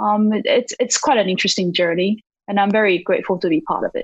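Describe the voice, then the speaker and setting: A woman speaks with a Taiwanese accent and ordinary pitch variation. The sound is dry and close with no echo over a quiet background. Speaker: marketing executive and startup investor. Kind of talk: interview. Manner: hesitant, with frequent fillers.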